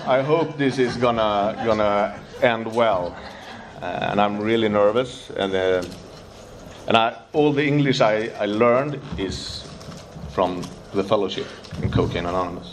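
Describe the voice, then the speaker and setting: The speaker goes at a fairly slow pace, with long, frequent pauses and ordinary pitch variation. Audible room echo and noticeable background noise fill the recording. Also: man, medium pitch for a man. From Sweden, Stockholm. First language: Swedish. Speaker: recovering addict sharing at a convention. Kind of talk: recovery testimony. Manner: halting.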